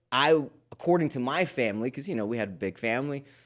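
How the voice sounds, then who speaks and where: The tone is animated, with lively intonation at a fairly quick pace. The recording is very clean, with a silent background. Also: man. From Queens, New York, US. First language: Spanish. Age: 40s. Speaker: fitness coach. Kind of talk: podcast interview.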